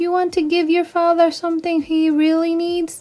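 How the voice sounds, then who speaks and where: A woman uses a squeaky put-on character voice at a moderate pace. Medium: read story.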